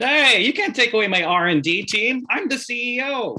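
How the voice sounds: Putting on a character voice, a man speaks at a moderate pace in an extremely high pitch with a bright, sharp tone and lively intonation.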